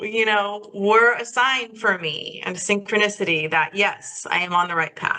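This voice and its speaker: A woman with a normal speaking voice talks at a moderate pace and medium pitch, using ordinary pitch variation and hardly any pauses. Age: 60s. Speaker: holistic life coach, minister. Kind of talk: interview conversation.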